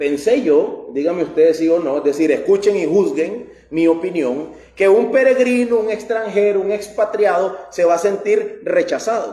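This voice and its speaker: A man with a high voice is heard over noticeable background noise and audible room echo. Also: ordinary pitch variation, moderate pace. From Costa Rica. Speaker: pastor. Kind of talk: sermon.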